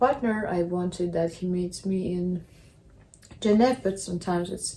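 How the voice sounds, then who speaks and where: Speaking at a moderate pace, a woman has a medium-pitched, somewhat breathy voice with a dark, mellow tone. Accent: Russian. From Russia. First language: Russian. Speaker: vlogger. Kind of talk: casual vlog monologue.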